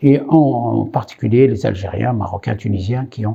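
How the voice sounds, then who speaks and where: This man's voice is dark and mellow, somewhat breathy, and medium in pitch. He goes at a fairly slow pace. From Morocco (Khouribga). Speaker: immigrant rights activist. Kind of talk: interview testimony. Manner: hesitant, many fillers.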